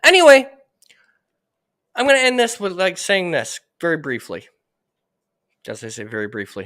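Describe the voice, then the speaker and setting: The speech has long, frequent pauses in a very clean recording with a silent background. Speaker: livestreamer, political commentator. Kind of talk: livestream rant. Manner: loud, heated.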